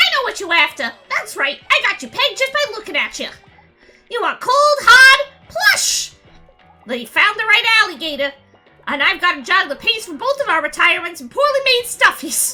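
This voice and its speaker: Putting on a character voice in a New York accent, a woman projects at an extremely high pitch with very wide pitch swings and a moderate pace while faint music plays in the background. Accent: exaggerated New York. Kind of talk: gruff street talk.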